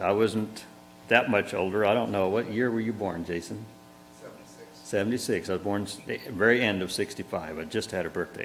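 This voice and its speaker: Speech at a moderate pace with ordinary pitch variation and music in the background. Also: man. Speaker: pastor officiating a funeral. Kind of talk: funeral sermon. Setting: church. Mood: warm, reflective, some smiles. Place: church. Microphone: lapel.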